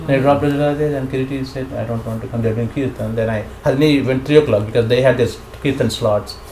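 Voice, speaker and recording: Speaking very fast in an Indian accent with fairly even intonation, a man is heard with audible room echo and noticeable background noise. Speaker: scripture class teacher. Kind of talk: casual chat.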